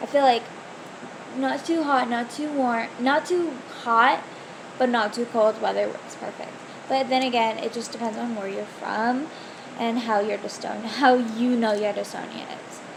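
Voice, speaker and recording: A woman with a high voice speaks at a moderate pace with fairly even intonation, her words carrying audible room echo over noticeable background noise. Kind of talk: casual Q&A vlog.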